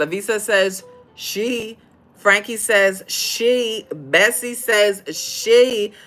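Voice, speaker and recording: Music plays in the background as a woman speaks very slowly with ordinary pitch variation. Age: 50s. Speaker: fashion designer and podcast host. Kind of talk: livestream chat reading comments. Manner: animated.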